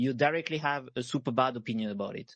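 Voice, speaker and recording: A man speaks at a fairly high pitch in a French accent, with ordinary pitch variation. His pace is fairly quick. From France. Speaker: panelist, web3 gaming founder. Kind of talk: panel discussion. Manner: halting, many fillers.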